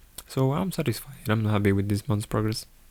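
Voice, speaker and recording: A man speaks in a dark, mellow tone at a fairly low pitch, with ordinary pitch variation. The recording is very clean, with a silent background. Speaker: amateur artist vlogger. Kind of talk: reading a script aloud. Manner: halting, stammering.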